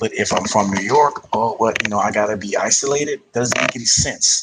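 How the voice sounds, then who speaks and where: A man speaks with a New Jersey accent. His intonation is fairly even. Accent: East Coast, New Jersey. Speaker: podcast host. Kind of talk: commentary monologue.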